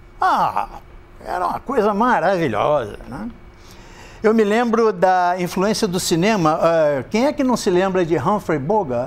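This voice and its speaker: Lively intonation in a Rio de Janeiro accent at a fairly slow pace. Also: man, high pitch for a man. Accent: Rio de Janeiro Brazilian Portuguese. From Brazil, Rio de Janeiro. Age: 70s. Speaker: retired insurance broker, ex-smoker speaker. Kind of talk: talk to an audience.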